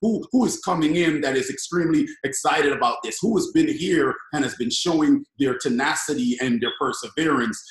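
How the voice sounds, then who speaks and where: A man talking at a fairly quick pace with hardly any pauses, in audible room echo over a quiet background. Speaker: network marketing team leader; guest. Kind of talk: casual chat. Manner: loud. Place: home room. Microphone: webcam.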